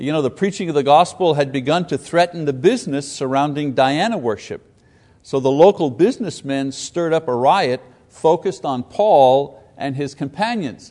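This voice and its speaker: The man's voice is fairly high in pitch with a dark, mellow tone. He uses ordinary pitch variation at a moderate pace. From Quebec. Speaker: Bible teacher. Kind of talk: Bible class lecture. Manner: halting with frequent fillers.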